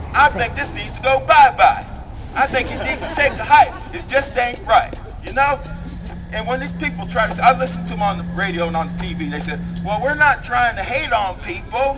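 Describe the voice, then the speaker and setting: Loud background noise surrounds a man with an American accent who talks at a fairly quick pace, his loudness swinging widely. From US. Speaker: rally speaker. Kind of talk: impassioned protest-rally speech, rhetorical call-and-response. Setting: outdoor rally with crowd. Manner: fiery, escalating rhetorical repetition; folksy, conversational, with humorous jabs. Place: street.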